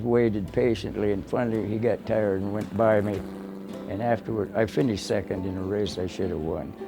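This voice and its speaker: A man's fairly low voice at a fairly quick pace, with ordinary pitch variation over noticeable background noise. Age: 80s+. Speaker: former midget auto racer. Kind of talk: documentary interview.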